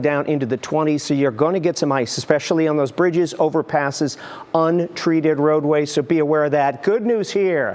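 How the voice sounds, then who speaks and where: A man with a fairly high pitch talks at a fairly quick pace with hardly any pauses, ordinary pitch variation and very even loudness, over noticeable background noise. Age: 60s. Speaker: TV meteorologist. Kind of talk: TV weather forecast. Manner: animated.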